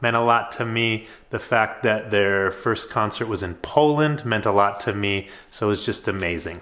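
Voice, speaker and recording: Speaking with an American accent, a man uses a bright, sharp tone at medium pitch, with ordinary pitch variation and a moderate pace. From United States. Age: 40s. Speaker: high school teacher and vlogger. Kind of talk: casual vlog monologue.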